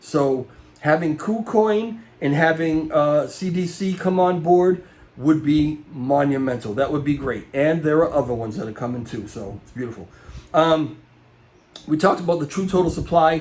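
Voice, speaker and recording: A man's fairly high voice with an American accent, lively intonation, moderate pace and big swings in loudness. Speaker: crypto market YouTuber. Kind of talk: casual video commentary. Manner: hesitant, many fillers.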